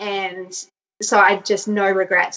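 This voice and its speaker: A woman speaks at a medium pitch with an Australian accent. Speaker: mother sharing birth story. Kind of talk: personal storytelling interview.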